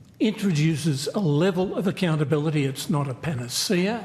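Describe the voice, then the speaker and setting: An Australian-accented man speaks at a moderate pace with a fairly high pitch and ordinary pitch variation. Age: 80s+. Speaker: aviation community advocate. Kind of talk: parliamentary hearing testimony. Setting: committee hearing.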